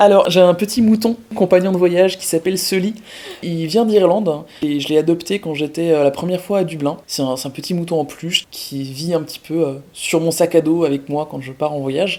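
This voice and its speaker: A woman with a fairly low pitch, a moderate pace, ordinary pitch variation and big swings in loudness. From eastern France (Franche-Comté). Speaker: traveler. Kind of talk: casual interview chat. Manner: hesitant, many filler sounds.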